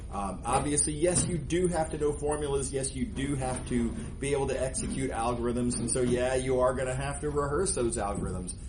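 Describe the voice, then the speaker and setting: A man's fairly quick talk with hardly any pauses, amid noticeable background noise and audible room echo. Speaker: math professor. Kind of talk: lecture. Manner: fast; loud.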